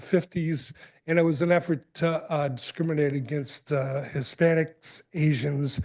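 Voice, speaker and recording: A man with an American accent speaks at a fairly slow pace. His pitch is fairly high and his intonation fairly even. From New England, New Bedford, Massachusetts. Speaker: public commenter. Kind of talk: public comment. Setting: city council meeting. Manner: halting, many fillers.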